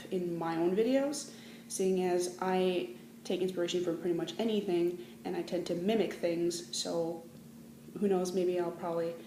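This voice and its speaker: With audible room echo, a woman speaks at a moderate pace and a medium pitch, using ordinary pitch variation. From Canada, Manitoba. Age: 20s. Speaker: vlogger. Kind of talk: casual vlog.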